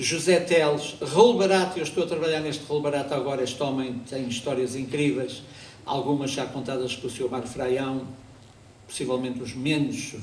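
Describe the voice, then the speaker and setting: Room echo can be heard. The delivery keeps a moderate pace. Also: man, fairly high pitch for a man, ordinary pitch variation. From Azores, Portugal. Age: 60s. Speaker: amateur actor and local historian. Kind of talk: historical talk on stage. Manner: conversational, with asides and hesitations.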